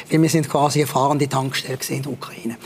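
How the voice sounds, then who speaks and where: Fairly even intonation from a man, with noticeable background noise behind him. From Switzerland, Basel. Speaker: war reporter. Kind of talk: interview. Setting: studio.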